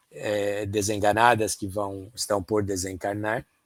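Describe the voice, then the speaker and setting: In a dry, close recording with no echo and a very clean, silent background, a man speaks fairly slowly at a fairly low pitch. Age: 70s. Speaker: author and lecturer on out-of-body experiences. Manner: halting, with repetitions and fillers.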